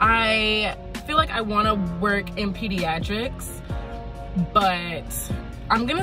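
Clear music can be heard in the background. Over it, a woman talks fairly slowly. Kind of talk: casual vlog chat. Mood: happy, excited after shift. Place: car.

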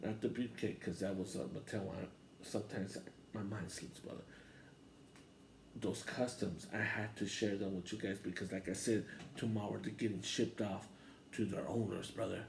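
A man with a fairly low pitch talks at a moderate pace, sounding somewhat breathy. Long, frequent pauses break up his speech over light background noise. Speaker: wrestling channel host. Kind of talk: casual vlog chat. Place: home room. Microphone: handheld.

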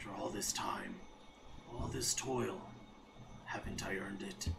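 Whispering in a put-on character voice, a man goes at a moderate pace against clear background noise. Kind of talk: reading game dialogue aloud. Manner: fervent, yearning.

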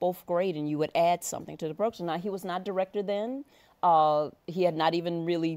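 At a fairly quick pace, a woman with a fairly low pitch talks with ordinary pitch variation. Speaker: guest. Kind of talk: interview answer. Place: studio.

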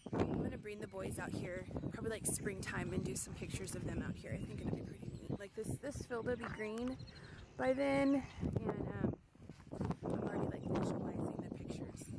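The speech moves at a fairly quick pace over loud background noise, with a dry sound and no echo. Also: woman. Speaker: family vlogger. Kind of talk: casual vlog chat. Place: farm machine. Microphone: phone near.

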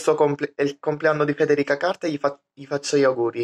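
A man speaks with a voice pitched fairly high. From Sicily. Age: 20s. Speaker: vlogger. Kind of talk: casual vlog monologue; casual vlog chat. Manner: halting. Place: home room. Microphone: phone near.

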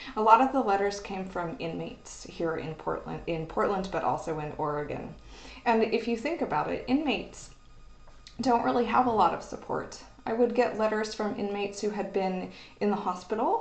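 With an American accent, a woman talks at a moderate pace using lively intonation and vocal fry. Audible room echo surrounds her voice. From Oklahoma. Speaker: university librarian. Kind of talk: educational video talk. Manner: casual, hesitant with fillers. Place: office. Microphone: webcam.

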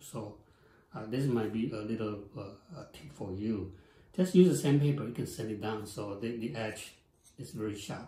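A man's speech at a moderate pace, with long, frequent pauses, big swings in loudness, and audible room echo. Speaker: instructor. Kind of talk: tutorial. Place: workshop.

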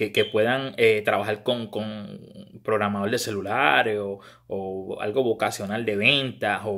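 A man with a fairly low pitch and a bright, sharp tone speaks with fairly even intonation over a quiet background. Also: fairly slow pace. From Puerto Rico. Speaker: baseball scouting commentator. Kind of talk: monologue to camera. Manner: halting, frequent repetitions. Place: home room. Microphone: phone near.

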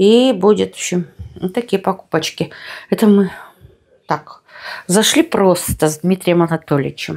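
Against a quiet background, a woman talks at a moderate pace with ordinary pitch variation and long, frequent pauses. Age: 50s. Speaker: lifestyle vlogger. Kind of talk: casual vlog talk. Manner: animated. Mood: relaxed, friendly. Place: home room. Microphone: phone near.

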